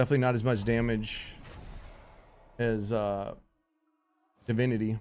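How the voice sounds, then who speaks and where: A man's medium-pitched voice with fairly even intonation, music in the background. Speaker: gaming streamer. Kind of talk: live stream commentary. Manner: loud; casual, conversational.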